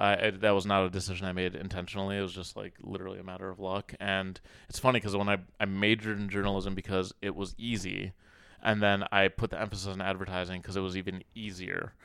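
In an American accent, the voice races along at a very fast pace with a bright, sharp tone. The recording is very clean, with a silent background. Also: man, fairly low pitch for a man. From Minnesota, US Midwest. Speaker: comedian and content creator. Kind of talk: casual chat. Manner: animated.

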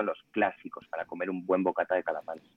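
This is a man speaking in a fairly low pitch. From Spain, Ponferrada (León). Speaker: food blogger. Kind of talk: casual chat.

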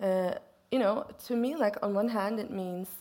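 A woman speaks at a medium pitch with a Swedish accent. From Sweden. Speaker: poet and interviewer. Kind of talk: onstage literary conversation. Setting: stage with audience.

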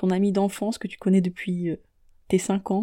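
A woman of medium pitch speaks at a fairly quick pace in a dark, mellow tone with monotone, flat intonation, recorded very cleanly against a silent background. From Niger. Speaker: podcast host. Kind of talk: personal monologue.

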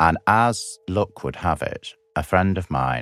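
A man with a Lancashire accent and some vocal fry talks at a fairly slow pace with ordinary pitch variation, in a very clean recording with a silent background and a dry, close sound with no echo. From northwest England, Blackpool. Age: 50s. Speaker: performance artist. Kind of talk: interview storytelling.

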